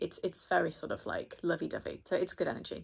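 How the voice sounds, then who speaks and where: A woman with an American accent at a very fast pace, in a very clean recording with a silent background. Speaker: astrologer. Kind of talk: horoscope reading monologue. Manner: casual, chatty with fillers.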